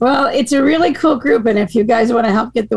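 A woman with an American accent over noticeable background noise. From Maine, US. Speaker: hockey association director. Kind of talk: casual interview chat.

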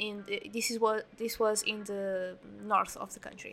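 This woman speaks at a moderate pace with a Portuguese accent. Her pitch is fairly high. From Portugal. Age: 20s. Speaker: podcast host. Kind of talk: storytelling monologue. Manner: hesitant.

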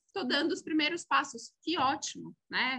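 A woman's raised, projected voice with a bright, sharp tone, a fairly slow pace and ordinary pitch variation. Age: 40s. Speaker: corporate sustainability executive. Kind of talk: interview.

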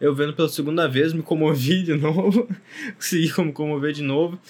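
On a very clean recording with a silent background, a man talks in a normal speaking voice. His pitch is fairly high, his intonation fairly even and his pace fairly quick. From southern Brazil. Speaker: podcast host. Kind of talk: casual chat.

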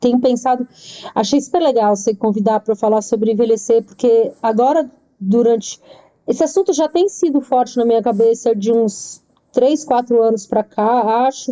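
A woman talks with a fairly high pitch and a dark, mellow tone. Her pace is moderate, her pitch variation ordinary, and her loudness very even. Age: 40s. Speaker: writer and editor. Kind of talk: casual chat.

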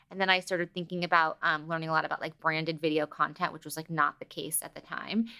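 Flat and monotone at a very fast pace, an American accent comes through with big swings in loudness, in a very clean recording with a silent background and a dry, close sound with no echo. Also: woman. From Los Angeles, US. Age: 30s. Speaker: entrepreneur and TV producer. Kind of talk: casual interview chat.

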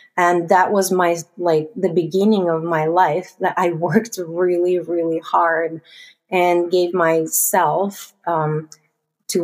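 A woman talks at a fairly slow pace. Her pitch is fairly low, and her intonation stays fairly even. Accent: Russian. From Russia. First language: Russian. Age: 30s. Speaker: investor. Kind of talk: interview.

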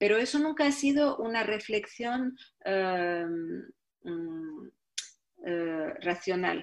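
This woman talks at a very slow pace, her pitch swinging very widely. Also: medium pitch for a woman. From Morocco, Tangier. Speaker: film director and actress. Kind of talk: interview. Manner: halting, many repetitions.

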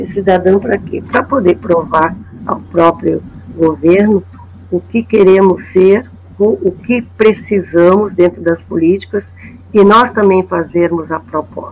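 This woman has a plain, everyday voice, medium in pitch, with fairly even intonation and a fairly slow pace. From Porto Alegre, southern Brazil. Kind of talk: storytelling testimony.

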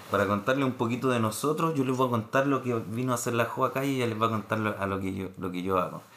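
A man with a medium-pitched voice and ordinary pitch variation talks very fast with hardly any pauses. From Chile, Santiago (Renca). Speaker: podcast co-host. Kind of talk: casual chat.

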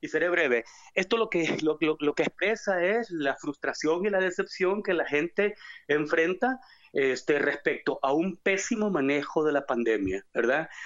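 Lively in intonation, a man speaks at a fairly slow pace and high pitch, his loudness very even. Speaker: caller. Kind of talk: political rant.

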